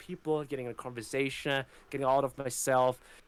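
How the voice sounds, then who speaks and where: The speaker has a German accent and talks at a fairly quick pace. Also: man. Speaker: content creator. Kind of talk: casual chat. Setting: livestream. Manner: energetic.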